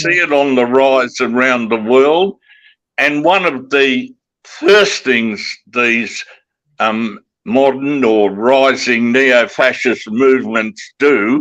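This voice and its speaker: At a very slow pace, a man with an Australian accent speaks at a medium pitch, with ordinary pitch variation and very even loudness. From Western Australia. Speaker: broadcaster and author. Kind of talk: podcast interview answer.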